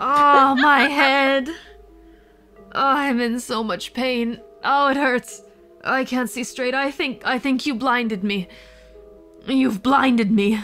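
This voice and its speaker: A woman's high, put-on character voice, mumbling at a very slow pace with long, frequent pauses, over clear background noise and faint music. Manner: groggy, mumbling.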